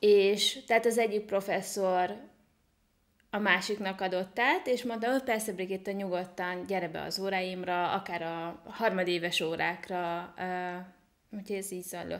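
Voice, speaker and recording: Against a quiet background, a woman with an unremarkable speaking voice talks at a fairly slow pace, with medium pitch and fairly even intonation. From Hungary (small town). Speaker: online entrepreneur and IT consultant; podcast guest. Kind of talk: interview. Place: home room. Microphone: studio mic.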